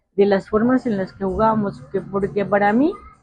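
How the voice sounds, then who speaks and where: A woman speaks with music in the background. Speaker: interviewee, local resident. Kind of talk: interview.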